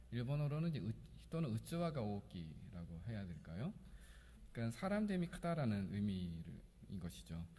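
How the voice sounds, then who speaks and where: A man's fairly low, somewhat breathy voice with a dark, mellow tone, very wide pitch swings, a fairly quick pace, long, frequent pauses, and audible room echo. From Korea. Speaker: pastor. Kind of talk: sermon. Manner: hesitant, with fillers.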